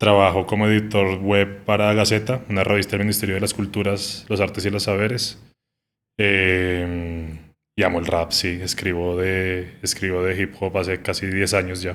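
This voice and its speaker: Keeping a moderate pace, a man speaks in a fairly low pitch with monotone, flat intonation. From Colombia, Bogotá. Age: 30s. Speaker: music journalist. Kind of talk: casual interview conversation. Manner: hesitant, many fillers.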